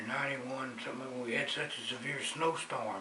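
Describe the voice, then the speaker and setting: A man with a Southern US accent at a moderate pace, with ordinary pitch variation and noticeable background noise. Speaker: horse enthusiast, trail rider. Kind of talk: interview answer. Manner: passionate.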